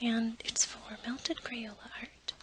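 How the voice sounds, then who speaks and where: Someone whispers in a soft-spoken way. Noticeable background noise runs underneath. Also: woman. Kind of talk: ASMR craft tutorial. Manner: soft-spoken, whispered.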